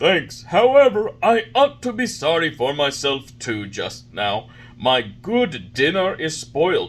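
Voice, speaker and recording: A man puts on a character voice with a fairly high pitch. He delivers it at a fairly slow pace. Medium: read story. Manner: gruff, blustering.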